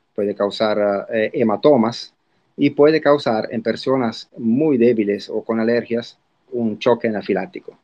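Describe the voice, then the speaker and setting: Pitched in the medium range, a man speaks with a plain, everyday voice. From Italy. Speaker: spider expert. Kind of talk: interview.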